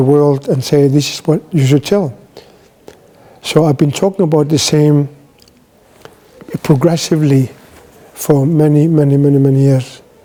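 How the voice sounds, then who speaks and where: Noticeable background noise sits behind a man's fairly high voice at a moderate pace. His intonation stays fairly even, with long, frequent pauses. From Greenland. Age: 60s. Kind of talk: talk.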